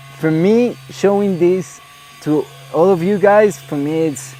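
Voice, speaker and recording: Fairly slow speech in a Spanish accent over noticeable background noise. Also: man. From Colombia, Medellín. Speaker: ranch owner and tourism entrepreneur. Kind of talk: interview conversation. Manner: halting, many fillers and repetitions.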